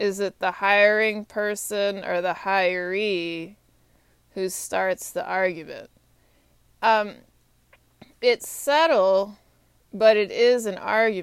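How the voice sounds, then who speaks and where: Speaking at a very slow pace with long, frequent pauses, a woman uses a medium pitch and ordinary pitch variation. The recording is very clean with a silent background. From Texas. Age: 30s. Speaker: podcaster. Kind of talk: solo monologue. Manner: halting.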